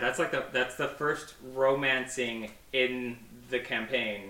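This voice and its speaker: With noticeable background noise, a man at a medium pitch speaks at a very slow pace with fairly even intonation. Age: 30s. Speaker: archery retail worker and podcast guest. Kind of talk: casual chat.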